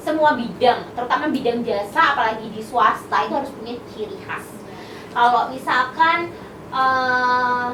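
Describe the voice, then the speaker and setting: At a fairly slow pace, a woman speaks at a high pitch with ordinary variation, her voice shrill and nasal with big swings in loudness. Audible room echo and noticeable background noise fill the recording. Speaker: university lecturer and content creator. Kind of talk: casual podcast interview.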